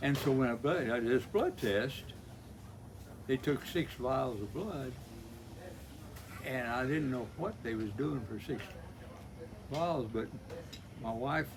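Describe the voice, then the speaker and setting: With an American accent, a man talks fairly slowly at a medium pitch with ordinary variation and long, frequent pauses, over noticeable background noise. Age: 80s+. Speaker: retired electrician. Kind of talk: casual chat.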